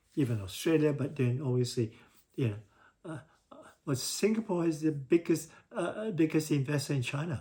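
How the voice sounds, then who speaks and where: A man talks in a fairly high pitch with a dark, mellow tone. His voice is somewhat breathy, with long, frequent pauses. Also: lively intonation, moderate pace. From Singapore. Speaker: civil engineer. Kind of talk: casual talk to camera. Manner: hesitant, repetitive.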